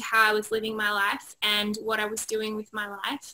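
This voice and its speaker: A woman talks at a moderate pace. Her voice is fairly high, with a bright, sharp tone. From Australia. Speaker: positive psychology trainer, author. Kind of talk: interview chat.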